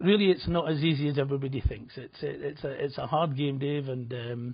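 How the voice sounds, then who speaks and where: Fairly even intonation in a somewhat breathy voice. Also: man, fairly high pitch for a man. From Scotland, Edinburgh. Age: 60s. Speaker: betting website founder, former bookmaker. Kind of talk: TV interview.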